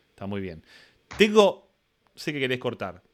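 A man speaks with an Argentine accent. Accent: Rioplatense Argentine Spanish. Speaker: podcast host and teacher. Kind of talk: casual interview chat. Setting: live-streamed video call. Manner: fast.

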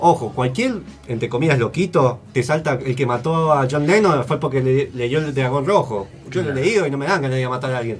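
Speaking at a fairly quick pace with hardly any pauses, a man uses ordinary pitch variation while music plays in the background. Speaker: radio host. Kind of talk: casual chat. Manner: animated.

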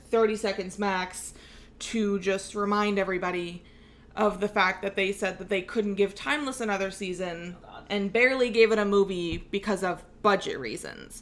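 With an ordinary speaking voice, a woman at medium pitch keeps her intonation fairly even while her loudness swings widely. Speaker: podcast host. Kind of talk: casual chat.

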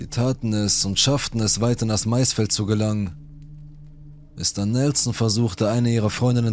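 A man's fairly low pitch with fairly even intonation, in an ordinary speaking voice. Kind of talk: true-crime horror narration, reading Reddit stories aloud. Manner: grave, suspenseful storyteller tone, tense and menacing in threatening quotes.

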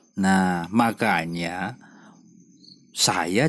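A man speaks at a very slow pace. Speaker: podcast host. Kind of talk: reflective monologue. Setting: outdoors behind his village house at night.

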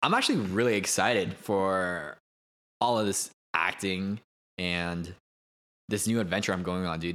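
On a very clean recording with a silent background, a man speaks loudly at a moderate pace, his very deep, low voice bright and sharp in tone, with fairly even intonation and long, frequent pauses. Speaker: podcast co-host, aspiring actor. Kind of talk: casual chat.

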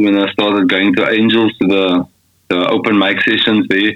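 The man's pitch is fairly low. He speaks at a moderate pace in a monotone, flat intonation. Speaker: singer-songwriter. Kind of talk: casual interview chat. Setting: video call from Austria.

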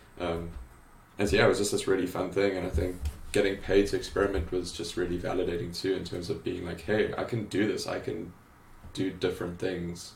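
A man's very deep, low voice at a fairly quick pace, monotone and flat in intonation, with audible room echo and music in the background. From South Africa, Cape Town. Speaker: graphic designer and creative director. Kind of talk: interview conversation. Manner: hesitant, many fillers.

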